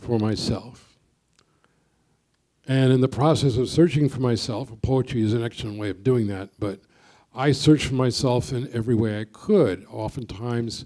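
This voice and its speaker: Here a man speaks in a New York accent at a medium pitch. His tone is dark and mellow, with ordinary pitch variation. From US Northeast, Brooklyn, New York. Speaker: poet. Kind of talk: panel discussion.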